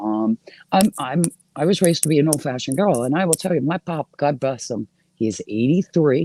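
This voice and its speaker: A woman's dark, mellow tone with lively intonation, in a dry, close sound with no echo. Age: 50s. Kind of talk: casual chat.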